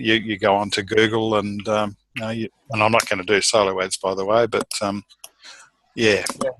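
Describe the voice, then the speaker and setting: A man with an Australian accent, fairly low in pitch and bright and sharp in tone, in a dry, close sound with no echo. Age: 60s. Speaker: course member. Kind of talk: mastermind group call. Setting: group call. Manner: halting.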